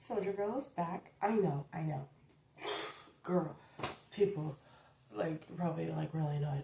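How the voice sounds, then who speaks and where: Soft-spoken and fairly low in pitch, a woman talks with lively intonation. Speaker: YouTuber. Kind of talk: casual chat.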